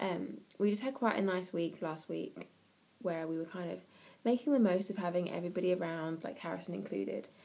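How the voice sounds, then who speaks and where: The voice has a dark, mellow tone and ordinary pitch variation, with an English accent. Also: woman. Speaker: parenting vlogger. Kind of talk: casual vlog. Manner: fast.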